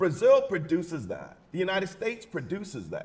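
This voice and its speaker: Loud, high-pitched male voice, animated in tone with lively intonation. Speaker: panelist, political scientist. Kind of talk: panel discussion.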